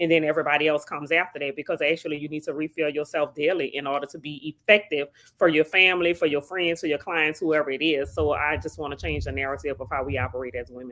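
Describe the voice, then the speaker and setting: A woman with a New Orleans accent talks at a very fast pace with hardly any pauses, in a very deep, low pitch. Her pitch varies in an ordinary way, while her loudness swings widely. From New Orleans, Louisiana. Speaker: psychotherapist. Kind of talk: interview.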